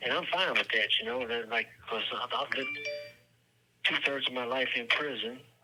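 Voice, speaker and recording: A man talks with fairly even intonation while noticeable background noise runs underneath. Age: 60s. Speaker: prison inmate. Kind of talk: phone interview. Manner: halting.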